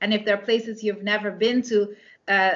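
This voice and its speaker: In a Dutch accent, a woman speaks with a fairly high pitch. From Netherlands. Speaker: romance author and English teacher. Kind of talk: interview. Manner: halting, many fillers.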